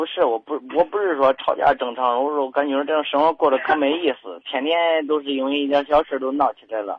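Fairly quick delivery with hardly any pauses, ordinary pitch variation and big swings in loudness. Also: man, fairly high pitch for a man. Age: 20s. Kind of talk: call-in advice show. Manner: halting.

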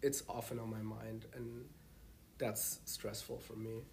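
There is audible room echo as a man talks at a very slow pace. His medium-pitched voice carries vocal fry. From Germany. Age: 20s. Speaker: master's student. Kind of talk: casual interview.

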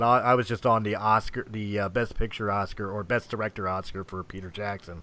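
An ordinary speaking voice at a fairly quick clip, hardly pausing, with big swings in loudness on a very clean recording over a silent background. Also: man. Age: 40s. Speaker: podcast host. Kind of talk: casual chat.

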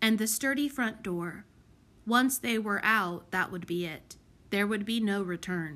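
It is plain reading aloud with ordinary pitch variation.

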